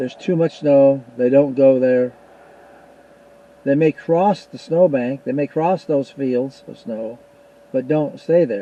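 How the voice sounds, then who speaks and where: With an American accent, a man talks at a very slow pace, leaving long, frequent pauses and making big swings in loudness over noticeable background noise. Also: fairly high pitch for a man, ordinary pitch variation. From US Pacific Northwest. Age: 80s+. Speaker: YouTuber, Bigfoot investigator. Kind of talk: casual monologue to viewers.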